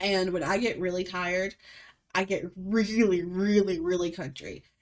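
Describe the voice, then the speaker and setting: A strong Alabama accent at a moderate pace. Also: woman, medium pitch for a woman. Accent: thick Alabama Southern. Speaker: podcast host. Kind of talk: casual chat. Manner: animated.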